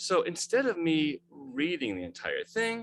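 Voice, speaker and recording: The recording is dry and close, without any echo. It captures a man talking. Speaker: webmaster of a religious studies website. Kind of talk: presentation in a video call. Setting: video call. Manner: fast.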